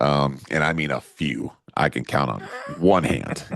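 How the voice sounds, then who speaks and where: A man is speaking. His voice has vocal fry. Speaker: podcast co-host. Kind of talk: casual chat.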